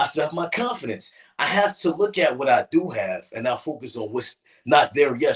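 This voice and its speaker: With an American accent, a man speaks at a moderate pace in a somewhat breathy voice with lively intonation. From New Jersey. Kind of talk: interview. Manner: earnest, encouraging.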